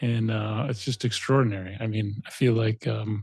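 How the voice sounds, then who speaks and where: A somewhat breathy man with a medium pitch and an American accent, at a moderate pace. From Michigan, US. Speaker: podcast host. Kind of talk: casual interview; podcast intro. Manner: quiet morning voice.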